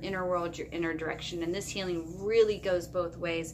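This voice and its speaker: A woman at a moderate pace, medium-pitched, with a bright, sharp tone. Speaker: tarot reader. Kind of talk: tarot reading monologue.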